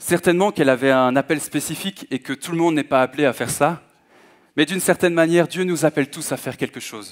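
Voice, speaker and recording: Over a quiet background, a man talks very fast in a fairly high pitch with ordinary pitch variation. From Belgium (Hainaut, Manage); Belgium. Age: 20s. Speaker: guest preacher. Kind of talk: sermon. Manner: halting, frequent hesitations. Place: church. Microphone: headset.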